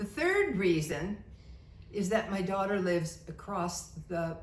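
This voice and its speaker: With an American accent, this voice moves at a fairly slow pace and carries vocal fry. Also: woman. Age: 80s+. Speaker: retiree. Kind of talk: casual talk to camera.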